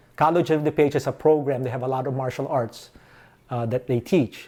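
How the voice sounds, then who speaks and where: A man's dark, mellow voice with a Filipino accent and fairly even intonation. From Philippines (Manila). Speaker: martial arts instructor. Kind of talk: interview. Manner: casual, storytelling.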